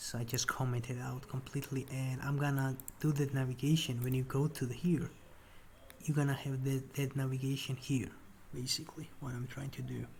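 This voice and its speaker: This speech moves at a fairly quick pace. A non-native accent comes through. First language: not English. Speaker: programmer vlogger. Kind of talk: screen-share coding walkthrough. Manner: casual, halting with fillers.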